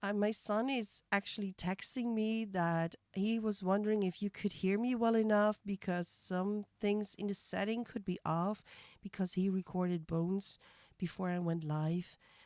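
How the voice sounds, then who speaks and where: A woman with a Dutch accent speaks at medium pitch and a moderate pace, her loudness very even, the sound dry and close with no echo. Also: fairly even intonation. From Netherlands. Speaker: music reaction streamer. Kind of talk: live stream reaction commentary. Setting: live stream. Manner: halting.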